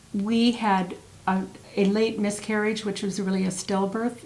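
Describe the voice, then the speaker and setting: A woman at medium pitch, flat and monotone in intonation, at a moderate pace with audible room echo. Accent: American. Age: 70s. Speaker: singer, interviewee. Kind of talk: interview.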